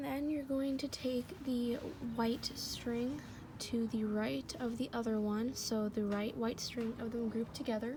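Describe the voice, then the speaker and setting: A woman talks with a fairly high pitch, fairly even intonation and a moderate pace, with noticeable background noise underneath. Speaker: craft tutorial maker. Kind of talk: tutorial voice-over.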